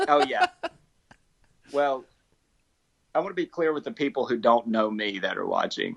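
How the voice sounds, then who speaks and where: A man with an American accent talks at a moderate pace with long, frequent pauses, in a dry, close sound with no echo. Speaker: comedian. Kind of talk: casual chat. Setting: video call.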